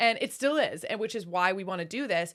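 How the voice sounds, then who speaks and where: An animated woman with an American accent talks at a fairly quick pace on a very clean recording with a silent background. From US Midwest, Wisconsin. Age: 30s. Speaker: podcast co-host. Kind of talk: casual chat.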